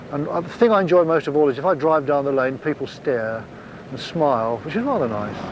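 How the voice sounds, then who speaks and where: Against noticeable background noise, a man talks at a fairly quick pace in a southern English accent. His pitch is fairly high, with lively intonation. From Kent, England. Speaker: apple grower. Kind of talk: documentary interview talk. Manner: relaxed, conversational.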